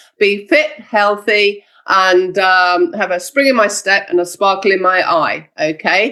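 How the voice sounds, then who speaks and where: A woman speaks at a fairly slow pace with hardly any pauses and very even loudness. Her medium-pitched voice has a bright, sharp tone and lively intonation. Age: 60s. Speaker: network marketing distributor and trainer. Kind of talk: motivational training talk. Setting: video call.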